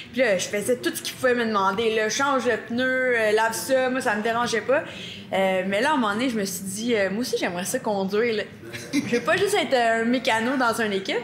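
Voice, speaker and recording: Fairly high female voice at a fairly quick pace, ordinary pitch variation, and noticeable background noise. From Quebec. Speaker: monster truck driver. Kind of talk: podcast interview. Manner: energetic.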